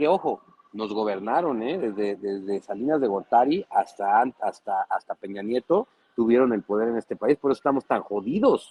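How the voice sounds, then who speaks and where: A man at medium pitch and moderate pace, with ordinary pitch variation and a dry, close sound with no echo. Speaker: political commentator. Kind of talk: panel discussion. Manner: animated.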